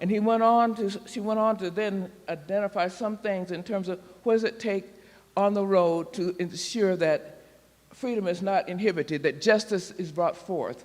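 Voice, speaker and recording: A man speaks in a high voice at a moderate pace. His intonation stays fairly even. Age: 80s+. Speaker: minister. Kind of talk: sermon.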